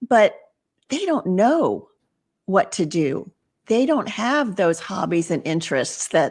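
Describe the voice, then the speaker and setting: A woman speaks at a very slow pace with a medium pitch, very wide pitch swings, and long, frequent pauses. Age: 60s. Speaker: retirement transitions coach, podcaster. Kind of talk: podcast interview.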